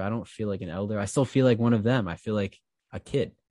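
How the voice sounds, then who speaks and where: Dry and close with no echo, a man's plain, everyday voice sits at a fairly low pitch with ordinary pitch variation. The background is quiet. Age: 20s. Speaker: high school teacher and podcaster. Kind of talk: casual chat.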